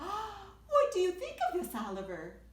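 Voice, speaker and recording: A woman's put-on character voice, squeaky and extremely high, with a warm tone, a fairly slow pace and slight echo. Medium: read story. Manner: warm, affectionate.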